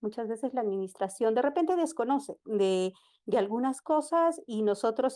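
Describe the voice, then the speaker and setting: In a plain, everyday voice, a woman speaks at a fairly high pitch and a moderate pace with lively intonation, on a very clean recording with a silent background. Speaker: student migrant, caller. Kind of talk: casual chat.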